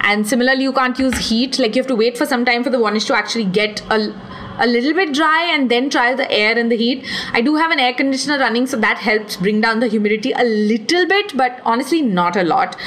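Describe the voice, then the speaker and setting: Over noticeable background noise, a woman with a high pitch and an animated tone talks at a very fast pace, with very even loudness and ordinary pitch variation. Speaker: podcast host and artist. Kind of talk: solo Q&A podcast.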